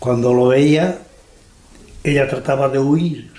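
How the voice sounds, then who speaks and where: The speech moves at a fairly slow pace. There is noticeable background noise and audible room echo. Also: man. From Andalusia, Almería. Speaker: elderly interviewee. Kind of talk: life story interview.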